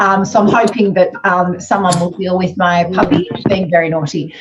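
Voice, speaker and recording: A woman talks at a moderate pace while noticeable background noise is heard. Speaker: styling masterclass host. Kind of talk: casual chat. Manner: hesitant, many fillers; whispering.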